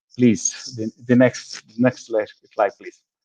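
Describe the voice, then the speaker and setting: The sound is dry and close with no echo as a man with a non-native accent speaks very slowly at medium pitch. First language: Spanish. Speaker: government agency head. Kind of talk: presentation. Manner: halting, repetitive.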